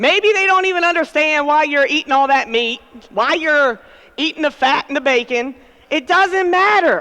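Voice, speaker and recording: A woman's high-pitched, raised and projected voice, animated in tone with lively intonation, at a moderate pace and very even loudness, over noticeable background noise. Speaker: conference speaker. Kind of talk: motivational keynote talk. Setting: stage with audience.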